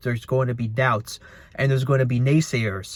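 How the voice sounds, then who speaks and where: A man's somewhat breathy voice at a medium pitch, fairly quick, with monotone, flat intonation. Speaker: motivational vlogger. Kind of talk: casual monologue. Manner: fast; halting with many repetitions.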